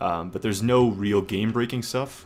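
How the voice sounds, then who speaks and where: A man's normal speaking voice at a moderate pace, with a medium pitch and fairly even intonation. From Canada. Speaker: gaming streamer. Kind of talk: live stream commentary. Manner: casual with many fillers.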